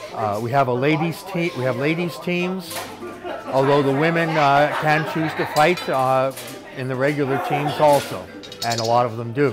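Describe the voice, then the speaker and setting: A man's fairly high voice at a moderate pace, with ordinary pitch variation, audible room echo, and music in the background. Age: 70s. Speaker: armored combat fighter. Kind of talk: documentary interview.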